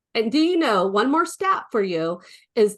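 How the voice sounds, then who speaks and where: A woman's pitch swings very widely while she keeps a moderate pace. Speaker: real estate coach. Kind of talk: webinar training.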